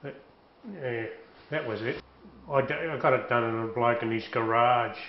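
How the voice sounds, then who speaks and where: A man with a strong Australian accent speaks at a moderate pace and with fairly even intonation, over noticeable background noise and audible room echo. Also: medium pitch for a man. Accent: broad Australian. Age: 60s. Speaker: tattooed interviewee. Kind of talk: interview. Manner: casual.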